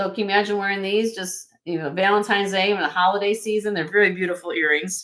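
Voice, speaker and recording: A woman with a northern US accent, medium pitch, fairly even intonation, a very fast pace and hardly any pauses. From US Midwest, Chicago area. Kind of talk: live sale stream. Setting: live stream.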